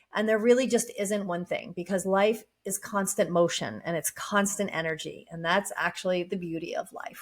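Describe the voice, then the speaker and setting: A woman speaks at a moderate pace with hardly any pauses. Her voice is somewhat breathy. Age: 50s. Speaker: life coach. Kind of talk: casual monologue. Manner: relaxed, hesitant with fillers.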